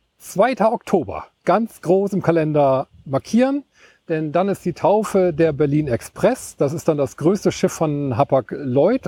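A man with an unremarkable speaking voice, fairly high in pitch with lively intonation, in a very clean recording with a silent background and a dry, close sound with no echo. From East Frisia, northern Germany. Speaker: hobby ship spotter and photographer. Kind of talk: casual interview. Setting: outdoors at a riverside pier.

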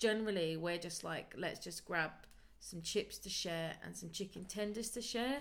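A woman talks at a moderate pace in a British accent. Her loudness swings widely while her pitch varies in an ordinary way. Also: medium pitch for a woman. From UK. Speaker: podcast co-host, craft business owner. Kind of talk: casual chat.

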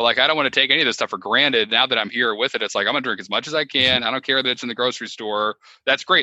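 A man of medium pitch with an American accent, very fast and with hardly any pauses, his intonation fairly even. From Connecticut. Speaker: former brewer, podcast host. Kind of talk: casual chat.

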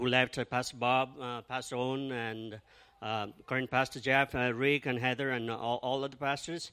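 Bright, sharp tone from a man at medium pitch. He keeps a monotone, flat intonation at a moderate pace. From Nepal. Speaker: church planter. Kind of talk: testimony. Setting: church.

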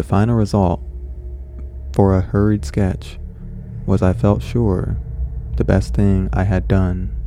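A man speaks in a calm tone with a very deep, low pitch, very wide pitch swings and very even loudness. His pace is fairly slow with long, frequent pauses over noticeable background noise. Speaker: horror podcast host and story reader. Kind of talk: literary audiobook reading, story narrated in first person with a measured, dramatic tone. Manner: casual, excitable, chatty host; in the story, calm and deliberate narrator, somewhat formal and period-styled.

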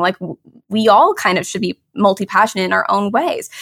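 This woman's fairly high voice carries a warm, enthusiastic tone. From Toronto, Canada. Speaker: podcast host and graphic designer.

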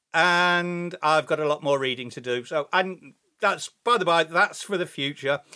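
A man with an English accent talks at a moderate pace in a high pitch. His tone is bright and sharp, with ordinary pitch variation. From England. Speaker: hobby podcaster. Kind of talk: casual solo podcast monologue. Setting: home recording. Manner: hesitant, many fillers.

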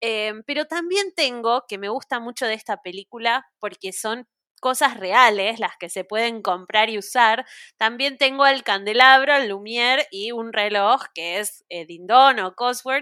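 A woman with an Argentine accent speaks at a fairly slow pace in a bright, sharp tone with a fairly high pitch and ordinary pitch variation. The recording is very clean and dry, close with no echo and a silent background. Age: 30s. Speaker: podcast guest, Disney fan. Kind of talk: casual chat.

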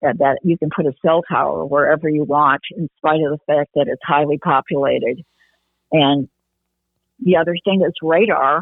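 In a Midwestern US accent, a woman speaks at a moderate pace with a fairly low pitch and ordinary pitch variation. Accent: US Midwest. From Michigan, Detroit area. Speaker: activist. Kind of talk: interview. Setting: phone call. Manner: halting.

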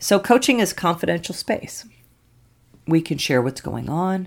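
At a moderate pace, a woman speaks with vocal fry in a fairly low pitch. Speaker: pastor and clergy coach. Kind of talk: podcast monologue.

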